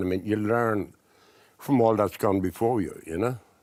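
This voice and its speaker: A man's voice in an Irish accent on a very clean recording with a silent background. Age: 70s. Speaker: artist. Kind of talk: casual chat.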